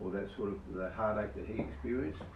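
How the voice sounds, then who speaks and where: A man with an Australian accent at a moderate pace, amid noticeable background noise and audible room echo. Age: 70s. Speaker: product distributor giving testimony. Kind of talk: testimony. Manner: halting.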